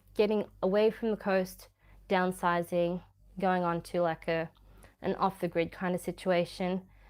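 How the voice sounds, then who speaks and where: With an Australian accent, a woman speaks at a medium pitch with ordinary pitch variation. The recording is very clean with a silent background. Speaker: YouTuber. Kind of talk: livestream chat. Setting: at home, dining room. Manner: casual, rambling.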